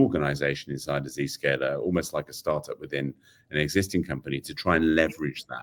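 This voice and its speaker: A man with a British accent talks at a very fast pace. His pitch is very deep and low, with vocal fry. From Britain. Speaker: AI technology executive. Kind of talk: interview. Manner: hesitant, many fillers.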